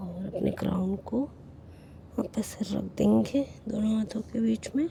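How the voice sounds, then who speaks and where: A woman is speaking. Her pace is very slow. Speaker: yoga instructor. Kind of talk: yoga class instruction.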